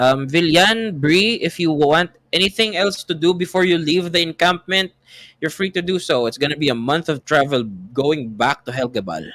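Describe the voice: At a moderate pace, a man talks with a fairly high pitch, a fairly bright tone and ordinary pitch variation.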